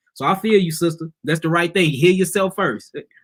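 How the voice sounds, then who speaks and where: A man talks at a very fast pace in a high pitch. His tone is bright and sharp. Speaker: herbal healer. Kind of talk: live stream teaching and Q&A.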